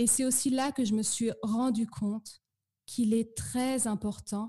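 A woman's fairly high, somewhat breathy voice with a dark, mellow tone, fairly even intonation and a fairly slow pace. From northern France (Normandy, Eure). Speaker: French pronunciation teacher. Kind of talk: interview.

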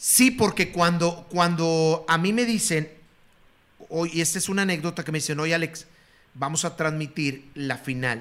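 On a very clean recording with a silent background, a man with a Mexican accent speaks at a fairly slow pace and high pitch, with ordinary pitch variation. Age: 50s. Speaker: retired sports broadcaster. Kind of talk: casual chat.

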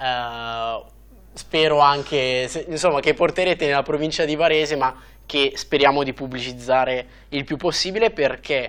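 Speaking slowly-ish with ordinary pitch variation, a man has an ordinary speaking voice pitched fairly high. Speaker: cycling YouTuber and podcast host. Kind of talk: interview. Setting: studio. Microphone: studio quality audio.

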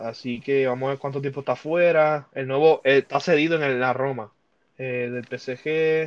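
Here is a man talking at a fairly slow pace. His pitch varies in an ordinary way. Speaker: sports podcast host. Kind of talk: casual chat. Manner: animated.

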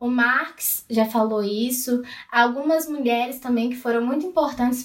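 A woman speaks high in pitch at a moderate pace. Her intonation is fairly even, and there is audible room echo. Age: 20s. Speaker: student and feminist activist. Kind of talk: casual chat.

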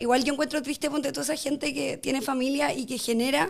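A woman with a Chilean accent at a very fast pace, high in pitch, with fairly even intonation. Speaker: podcast guest. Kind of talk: casual chat.

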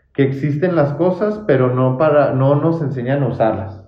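A man speaks at a fairly high pitch, somewhat breathy, with audible room echo. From Mexico, Chihuahua (Santa Bárbara). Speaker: podcast host. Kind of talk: casual interview. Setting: office visit.

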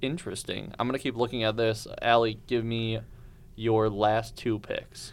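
A man's medium-pitched voice in a monotone, flat delivery. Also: moderate pace. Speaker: student podcast host. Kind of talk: casual chat.

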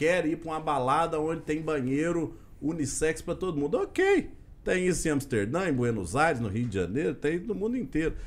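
With a plain, everyday voice, a man talks at a moderate pace at a fairly high pitch and with lively intonation. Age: 30s. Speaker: state legislator. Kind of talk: casual interview.

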